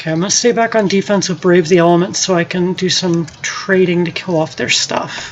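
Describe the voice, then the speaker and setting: A woman talks at a fairly quick pace in a fairly low pitch. Noticeable background noise runs under her voice. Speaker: gaming streamer. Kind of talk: live gameplay commentary. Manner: casual, animated.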